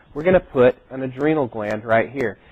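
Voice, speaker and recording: Lively intonation marks a man's plain, everyday voice. He talks at a fairly quick pace. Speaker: college instructor. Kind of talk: lecture. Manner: conversational.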